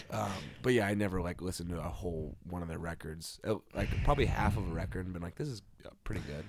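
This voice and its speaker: Speaking at a very fast pace, a man with a very deep, low voice and vocal fry uses lively intonation. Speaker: podcast host. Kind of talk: casual chat. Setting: home recording.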